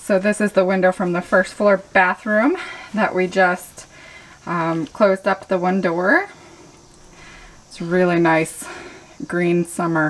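A woman speaks at a very slow pace, her intonation fairly even and broken by long, frequent pauses. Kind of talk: casual vlog chat. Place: bathroom. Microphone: phone near.

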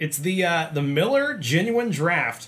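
Here a man speaks at a fairly slow pace. His intonation is lively. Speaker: channel host. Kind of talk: casual review chat. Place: home room. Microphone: camera far.

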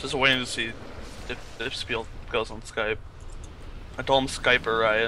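Over noticeable background noise, a man talks at a moderate pace in a medium pitch with monotone, flat intonation and long, frequent pauses. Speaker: gamer friend. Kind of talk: casual chat. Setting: voice chat. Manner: joking, swears freely.

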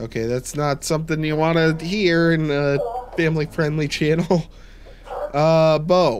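Amid noticeable background noise, a man with a fairly high pitch talks at a fairly slow pace with fairly even intonation. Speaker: gaming YouTuber. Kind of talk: gameplay commentary. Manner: casual, chatty, joking. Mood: wary, joking.

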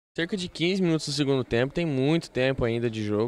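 A Brazilian accent at a fairly quick pace, with ordinary pitch variation and a dry sound with no echo. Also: man. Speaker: football commentator. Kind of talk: live commentary. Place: stadium.

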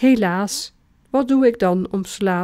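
A woman talks at a very slow pace and a fairly high pitch. The recording is very clean, with a silent background. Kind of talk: poetry reading.

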